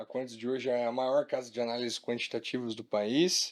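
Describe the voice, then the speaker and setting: Here is a man with a normal speaking voice at a moderate pace and ordinary pitch variation. The recording is very clean, with a silent background. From Maringá, Paraná, southern Brazil. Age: 20s. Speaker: company co-founder and executive. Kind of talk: podcast interview.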